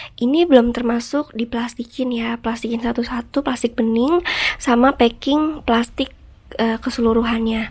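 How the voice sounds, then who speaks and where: A woman talks fairly slowly in a high voice, keeping her intonation fairly even. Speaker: online seller and video creator. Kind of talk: tutorial. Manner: casual, hesitant with fillers.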